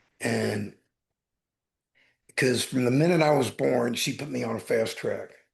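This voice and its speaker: At a fairly slow pace, a man speaks. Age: 60s. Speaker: life coach and author, grief recovery speaker. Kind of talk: podcast interview, personal story.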